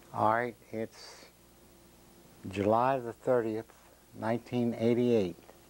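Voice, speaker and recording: A man with an American accent, medium pitch, monotone and flat intonation, and a very slow pace. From US South, Jacksonville, Florida. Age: 70s. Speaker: interviewee telling life story. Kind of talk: oral history interview. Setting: own living room.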